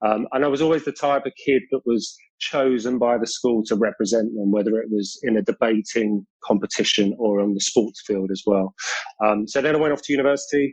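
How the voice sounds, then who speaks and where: The speaker uses a British accent at a fairly quick pace with fairly even intonation. The sound is dry and close, with no echo. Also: man. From South London, England. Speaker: long distance runner and mental health advocate. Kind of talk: podcast interview.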